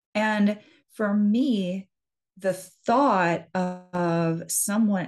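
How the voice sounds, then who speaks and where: With an American accent, a woman sounds somewhat breathy and uses ordinary pitch variation. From US Midwest, central Wisconsin. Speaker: hypnotherapist and business mindset coach. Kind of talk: interview.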